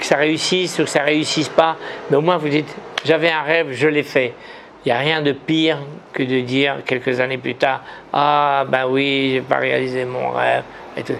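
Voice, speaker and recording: The man's voice sits fairly high and stays monotone and flat. There is noticeable background noise. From Morocco. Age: 70s. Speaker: businessman and writer. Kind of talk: interview. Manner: halting, many repetitions.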